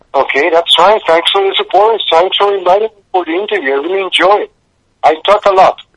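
Speech comes very fast with fairly even intonation. The sound is dry and close, with no echo. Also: man, high pitch for a man. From Puerto Rico. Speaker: musician, band frontman. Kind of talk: radio interview, casual chat. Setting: radio interview. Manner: halting, hesitant, filler-heavy.

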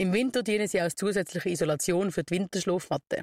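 A woman of medium pitch talks at a very fast pace with ordinary pitch variation. The recording is very clean, with a silent background and a dry, close sound with no echo. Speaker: scout radio show host. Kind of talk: scripted segment presentation. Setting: outdoor broadcast bus in city square.

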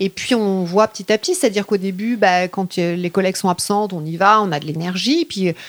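A woman's medium-pitched voice with ordinary pitch variation, delivered at a fairly quick pace with hardly any pauses, in a dry, close sound with no echo. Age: 40s. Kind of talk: interview. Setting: at home. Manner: hesitant.

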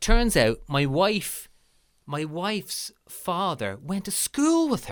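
The speaker has a Dublin accent and a very slow pace. The pitch swings very widely. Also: man, high pitch for a man. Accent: Dublin Irish. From Ireland, Lucan, Dublin. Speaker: podcast host. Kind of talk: casual chat. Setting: remote call.

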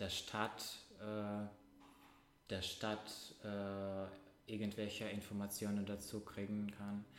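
Speaking in a Russian accent at a very slow pace, a man keeps a monotone, flat intonation and very even loudness, with long, frequent pauses. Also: fairly low pitch for a man. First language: Russian (speaking German). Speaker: podcast co-host. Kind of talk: casual chat. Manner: halting.

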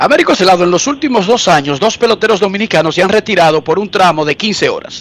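Over noticeable background noise, a man talks very fast in a high voice with lively intonation and hardly any pauses. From Dominican Republic. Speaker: sports journalist, radio co-host. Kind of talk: radio sports talk show. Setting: remote line from US into radio show.

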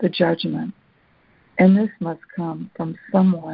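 This woman's fairly low, somewhat breathy voice moves at a fairly slow pace. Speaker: call participant and reader. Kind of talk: reading aloud and supportive sharing. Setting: phone call.

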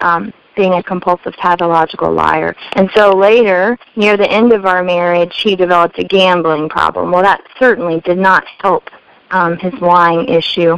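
A normal speaking voice from a woman with an American accent, fairly low in pitch, at a moderate pace and very even loudness, with a dry, close sound and no echo. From US Midwest, Missouri. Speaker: life coach and speaker. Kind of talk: testimony.

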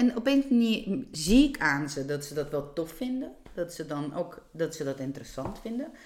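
Her voice sits fairly low for a woman and swings very widely in pitch as she talks at a fairly slow pace with hardly any pauses. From Georgia. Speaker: teacher and illustrator. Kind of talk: casual interview. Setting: home kitchen. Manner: halting.

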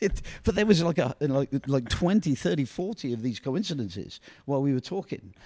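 Speaking fairly quickly in a Northumbrian accent, a man has a dark, mellow tone and a fairly high pitch that swings very widely. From northern England, Ashington, Northumberland. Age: 60s. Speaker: youth soccer coach. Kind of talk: casual chat.

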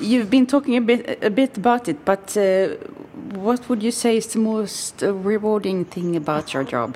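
Over noticeable background noise, a woman with a fairly high voice talks at a moderate pace. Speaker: podcast host. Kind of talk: interview.

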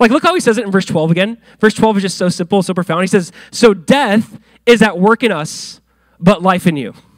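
At a fairly quick pace, a man with a high pitch speaks with ordinary pitch variation. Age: 30s. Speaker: pastor. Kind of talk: sermon. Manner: animated.

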